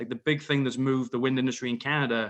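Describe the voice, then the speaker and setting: Using monotone, flat intonation, a man talks at a fairly quick pace. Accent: British. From UK. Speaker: wind energy industry expert. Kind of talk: panel discussion. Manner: stuttering, repeats words.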